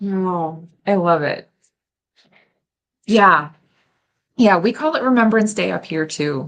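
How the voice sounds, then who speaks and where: Someone speaks very slowly with an American accent, using lively intonation and long, frequent pauses. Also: woman, medium pitch for a woman. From United States. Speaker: festival host, crafter. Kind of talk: casual interview.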